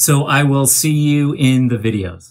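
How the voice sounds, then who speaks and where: A somewhat breathy male voice with ordinary pitch variation against a quiet background. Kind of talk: casual vlog chat.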